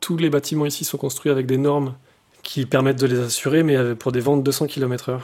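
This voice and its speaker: A man at medium pitch with flat, monotone intonation and a moderate pace. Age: 40s. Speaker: environmental activist. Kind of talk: interview. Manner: halting.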